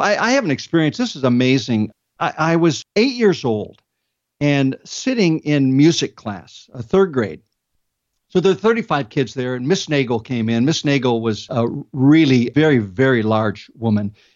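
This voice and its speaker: Speaking at moderate speed, this man uses a normal speaking voice pitched fairly high. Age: 60s. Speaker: comedian. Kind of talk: interview.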